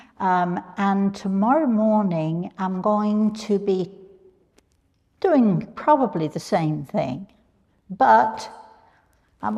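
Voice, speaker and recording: With a British accent, a woman speaks at a very slow pace, her medium pitch carrying a dark, mellow tone. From England. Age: old. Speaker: spiritual medium. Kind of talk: live workshop talk to audience. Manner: casual, chatty with hesitations.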